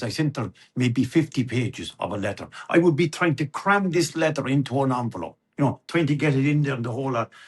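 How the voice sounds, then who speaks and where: Very fast speech in a Limerick accent comes out somewhat breathy, with ordinary pitch variation. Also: man, fairly high pitch for a man. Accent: Irish, East Limerick. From Ireland. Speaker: storyteller. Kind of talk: interview answer, personal storytelling. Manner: chatty, conversational.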